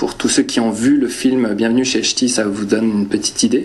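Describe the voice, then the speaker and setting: A man with a slight northern French accent at a moderate pace, amid noticeable background noise. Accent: slight northern French (ch'ti). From northern France. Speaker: preacher. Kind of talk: sermon. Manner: halting, many hesitations.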